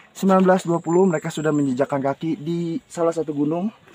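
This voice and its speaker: A man with a high voice speaks with lively intonation. The sound is dry and close with no echo, but noticeable background noise is present. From Jakarta outskirts / Tangerang. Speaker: travel vlogger, solo hiker. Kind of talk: casual vlog chat while hiking. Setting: outdoors on mountain trail. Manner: animated.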